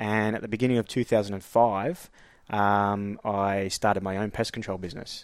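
With an Australian accent, a man speaks at a fairly low pitch. His intonation is monotone and flat. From Queensland, Australia. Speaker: astrologer and spiritual coach. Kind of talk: casual interview conversation.

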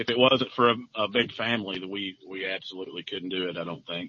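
A man with an Arkansas accent speaks with ordinary pitch variation. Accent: Southern US (Arkansas). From US South, northeast Arkansas. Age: 50s. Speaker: farmer. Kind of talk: testimony. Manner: halting.

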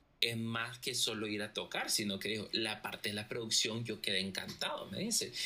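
Bright and sharp in tone, a man's voice sits at a medium pitch. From Costa Rica and Nicaragua. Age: 30s. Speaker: music producer. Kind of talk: casual interview chat.

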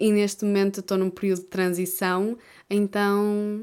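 Speaking fairly slowly, a woman has a European Portuguese accent and a medium pitch. The recording is very clean, with a silent background. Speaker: YouTuber and podcaster. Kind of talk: casual solo monologue.

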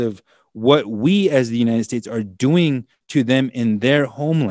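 A man's normal speaking voice at medium pitch, with an American accent and lively intonation, in a dry, close sound with no echo. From US Midwest, Standing Rock Reservation, South Dakota/North Dakota. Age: 40s. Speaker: attorney and activist. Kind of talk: interview.

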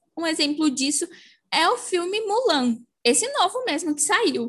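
A woman is speaking. Her pitch swings very widely. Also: quiet background. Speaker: podcast co-host. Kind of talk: casual chat.

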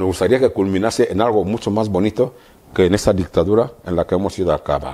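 Fairly low in pitch, a man speaks at a fairly quick pace with ordinary pitch variation. His tone is dark and mellow. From Equatorial Guinea. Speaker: opposition politician. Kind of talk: interview.

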